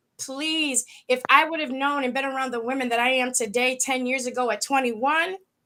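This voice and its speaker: A woman with a high pitch and a bright, sharp tone uses a raised, projected voice at a fairly quick pace. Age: 50s. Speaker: talk show co-host. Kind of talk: casual chat. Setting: live stream. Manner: animated.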